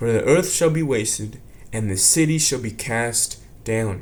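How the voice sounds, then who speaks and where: The voice moves at a moderate pace with ordinary pitch variation. Room echo is audible. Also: man. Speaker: religious teacher. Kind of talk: religious lesson. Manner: casual.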